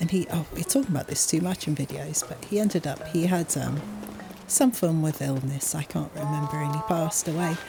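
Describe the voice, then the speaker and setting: With music in the background, a woman speaks in a very deep, low voice and a relaxed tone. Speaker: gaming youtuber. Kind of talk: casual gameplay chat. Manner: relaxed, slow-paced.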